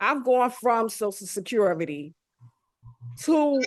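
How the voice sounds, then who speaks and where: A woman's fairly high-pitched voice, a normal speaking voice, at a fairly slow pace. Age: 60s. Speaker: special education teacher, woman living with HIV. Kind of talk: webinar panel discussion. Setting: video call from her office.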